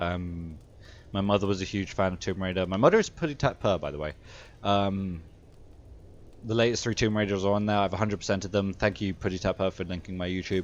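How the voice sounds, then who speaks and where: Against a quiet background, a man with a fairly low pitch mumbles at a very fast pace with fairly even intonation. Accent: British. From Britain. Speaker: video game streamer. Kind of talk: live gameplay stream chat. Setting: home streaming setup, camera off. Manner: mumbling; halting, many filler sounds.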